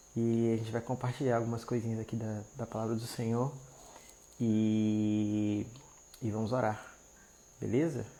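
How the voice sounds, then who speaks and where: A soft-spoken man with a dark, mellow tone and medium pitch speaks in a monotone, flat way at a fairly slow pace, with long, frequent pauses. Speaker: marriage restoration preacher. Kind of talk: live stream devotional talk. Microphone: quiet audio.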